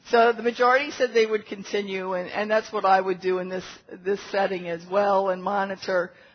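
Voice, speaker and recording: A woman with a plain, everyday voice talks at a fairly quick pace, medium in pitch with fairly even intonation. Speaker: physician lecturer. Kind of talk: medical lecture. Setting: conference room with audience.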